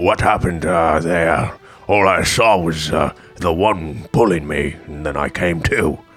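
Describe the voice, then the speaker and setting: In a put-on character voice, a man speaks raspy and very deep at a fairly slow pace, with faint music in the background. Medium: actual play.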